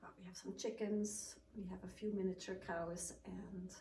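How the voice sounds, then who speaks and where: With audible room echo and noticeable background noise, a woman speaks at a medium pitch with a slight Swiss accent. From Switzerland. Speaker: sleep technician and cookie baker. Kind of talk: casual interview. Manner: hesitant, many ums.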